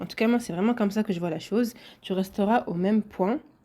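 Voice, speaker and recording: Her voice has a dark, mellow tone and a medium pitch, and this woman speaks at a moderate pace with ordinary pitch variation. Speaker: podcaster. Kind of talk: solo podcast monologue.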